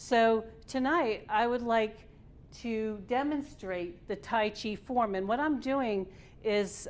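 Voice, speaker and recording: A woman talks very slowly in a fairly high voice, her pitch varying in an ordinary way. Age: 60s. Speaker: tai chi instructor. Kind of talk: presentation. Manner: halting.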